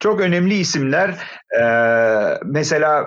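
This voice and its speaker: A man speaks very slowly in a fairly high voice. His intonation is lively. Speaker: opera singer and conservatory lecturer. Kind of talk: casual interview. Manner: hesitant fillers.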